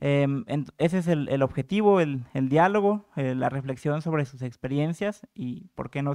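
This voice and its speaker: A moderate pace, in a dry sound with no echo and a quiet background. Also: man. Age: young. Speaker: panel moderator. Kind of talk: moderated panel discussion. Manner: hesitant with filler and repetitions. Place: hall. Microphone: podium.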